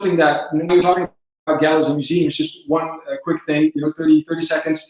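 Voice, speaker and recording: A man speaks with a Dutch accent and a high pitch. His intonation is fairly even. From southern Netherlands. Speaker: company presenter. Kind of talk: live webinar Q&A. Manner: hesitant, many filler words.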